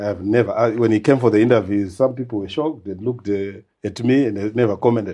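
A man talks at a very fast pace in a fairly low pitch. His tone is dark and mellow, and his intonation is fairly even. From Zimbabwe (Masvingo). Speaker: HR consultant, occupational psychologist. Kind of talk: interview.

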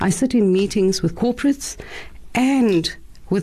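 A woman's somewhat breathy, fairly high voice, dark and mellow in tone, with lively intonation. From South Africa, Cape Town. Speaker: activist. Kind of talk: radio panel discussion. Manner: animated.

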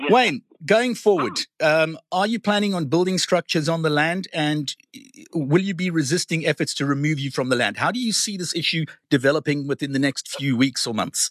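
Here a man has a plain, everyday voice, pitched fairly high, with lively intonation. He speaks fairly quickly, and the sound is dry and close with no echo. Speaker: radio host. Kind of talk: radio interview.

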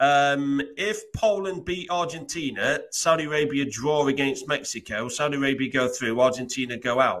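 The clip features a plain, everyday voice with ordinary pitch variation. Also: man. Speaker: sports betting tipster. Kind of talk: casual chat.

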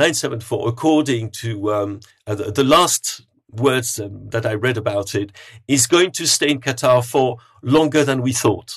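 This man speaks at a moderate pace in a medium pitch with ordinary pitch variation. His voice is somewhat breathy against a quiet background. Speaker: football journalist. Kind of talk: podcast panel discussion.

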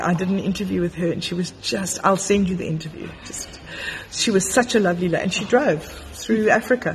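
Against noticeable background noise, a woman at a medium pitch speaks at a fairly quick pace with ordinary pitch variation. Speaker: podcast host. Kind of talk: casual interview chat. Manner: animated, enthusiastic.

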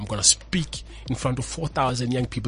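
A man speaks fairly quickly over noticeable background noise. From South Africa, Pretoria (Mamelodi). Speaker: motivational speaker. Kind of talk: interview. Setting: studio.

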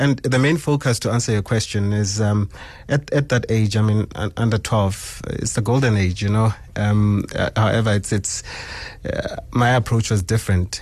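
The man's voice is somewhat breathy, with fairly even intonation. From South Africa, Sebokeng (Gauteng). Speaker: youth football coach. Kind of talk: radio interview. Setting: radio studio. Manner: halting, many fillers and repetitions.

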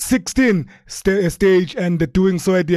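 The background is quiet. A man speaks in a high voice. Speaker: sports radio host. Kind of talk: sports interview. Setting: studio.

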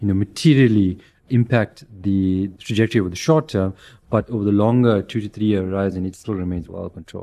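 A man's fairly low pitch and dark, mellow tone at a fairly quick pace over a quiet background. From South Africa. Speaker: head of fixed income at an asset manager. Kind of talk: investment podcast interview.

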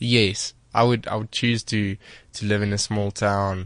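A speaker with a South African accent talks at a very slow pace. The background is quiet. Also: man. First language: Afrikaans. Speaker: singer. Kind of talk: interview. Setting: studio. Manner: halting.

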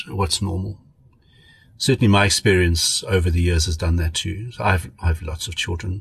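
This man's voice sits fairly low in pitch. It comes across somewhat breathy. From South Africa, Pretoria. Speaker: pediatrician. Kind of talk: casual chat.

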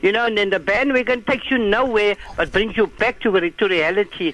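Against noticeable background noise, a man with a high-pitched voice talks at a fairly quick pace. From South Africa. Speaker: caller. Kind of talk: phone-in call.

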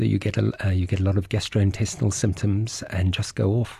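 A man speaks at a moderate pace in a dark, mellow tone, somewhat breathy and fairly low-pitched, against a quiet background. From South Africa. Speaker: doctor. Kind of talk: explanatory interview. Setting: studio.

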